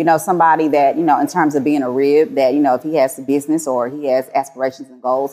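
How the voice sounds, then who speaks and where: With an American accent, a woman talks very fast with hardly any pauses, her very deep, low pitch held to fairly even intonation while her loudness swings widely. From Houston, Texas. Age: young. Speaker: reality TV personality. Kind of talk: casual chat. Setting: venue with bar and barbershop.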